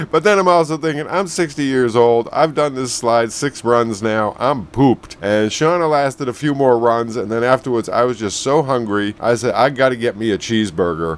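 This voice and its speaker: Here is an unremarkable speaking voice: a man at a medium pitch, speaking at a moderate pace with lively intonation and hardly any pauses. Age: 60s. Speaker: travel vlogger. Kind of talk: video narration. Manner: casual, chatty.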